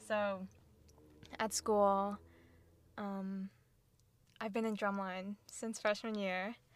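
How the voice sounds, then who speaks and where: Speaking at a very slow pace in an American accent, a woman holds a medium pitch and fairly even intonation. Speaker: student and clothing brand founder. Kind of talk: casual interview.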